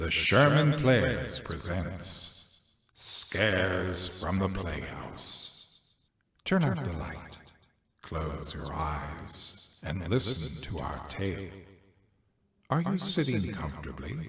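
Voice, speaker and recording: This man puts on a character voice with a very deep, low pitch. He talks at a very slow pace, and there is a slight echo. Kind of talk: spooky show introduction.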